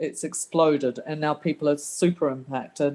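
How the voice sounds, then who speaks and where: A woman speaks with a slight New Zealand accent. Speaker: local resident. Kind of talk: community meeting question.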